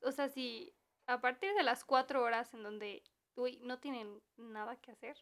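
A woman speaks in a high voice with a Mexican accent. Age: 20s. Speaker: podcast co-host, university student. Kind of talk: casual chat.

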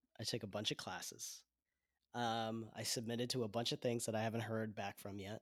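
A man with an American accent speaks at medium pitch and a fairly quick pace in a monotone, flat intonation. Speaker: podcast co-host. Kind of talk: casual chat.

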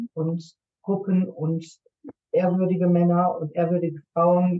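A woman's fairly low, somewhat breathy voice, monotone and flat, at a very slow pace. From Germany. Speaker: nurse and intercultural coach. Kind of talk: podcast interview.

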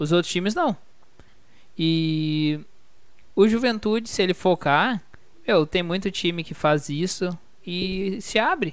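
Speech comes at a very slow pace with long, frequent pauses. The recording is very clean, with a silent background. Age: 20s. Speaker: football podcast host. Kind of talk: casual chat.

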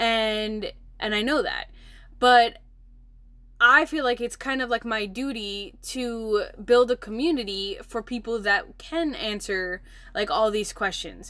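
On a very clean recording with a silent background, a woman uses an ordinary speaking voice at a fairly high pitch and a fairly slow pace, with ordinary pitch variation. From Milwaukee, Wisconsin, US. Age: 20s. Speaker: podcast host and entrepreneur. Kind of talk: casual solo podcast talk. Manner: chatty, many fillers.

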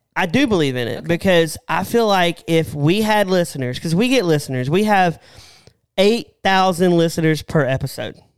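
Speaking at a moderate pace in a Southern US accent, a man uses a high pitch and lively intonation. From American South. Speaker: podcast co-host. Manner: casual, joking.

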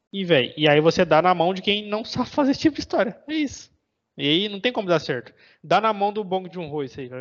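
Very wide pitch swings mark a man speaking at a very fast pace with a high pitch. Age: 20s. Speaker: podcast co-host. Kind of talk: casual chat.

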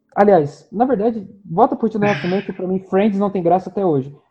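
His speech holds a moderate tempo. For a man, his pitch sits high. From Rio de Janeiro state, Brazil. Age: 20s. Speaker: podcast co-host. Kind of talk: casual chat.

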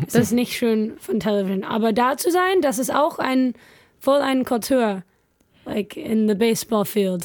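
Speaking with an English accent, a woman has a fairly high pitch and lively intonation. She talks at a fairly slow pace. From California, US. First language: English (speaking German). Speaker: missionary. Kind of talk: casual chat. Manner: halting.

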